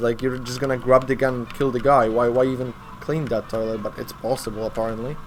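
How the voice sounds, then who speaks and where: The speaker has a Polish accent and a fairly quick pace. Noticeable background noise runs behind the voice. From Poland. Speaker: speedrunner. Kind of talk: live gameplay commentary. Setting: live charity stream. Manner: halting.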